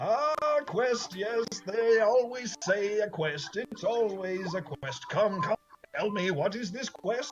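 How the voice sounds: Faint music plays behind a man doing a put-on character voice, gravelly and high-pitched. He goes at a fairly slow pace.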